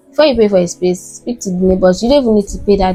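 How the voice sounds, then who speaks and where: A woman speaks at a medium pitch with ordinary pitch variation. Noticeable background noise runs through the clip. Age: 20s. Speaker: vlogger. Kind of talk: casual vlog talk to camera. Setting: home, filming in her new apartment. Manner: conversational, with many fillers and repetitions.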